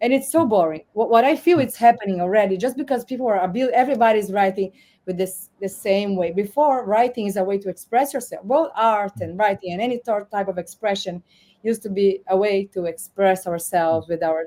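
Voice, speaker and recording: In a Portuguese accent, a woman speaks at a fairly quick pace with a medium pitch, ordinary pitch variation and a dark, mellow tone. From Brazil. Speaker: AI governance newsletter host. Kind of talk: interview talk. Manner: halting, many repetitions.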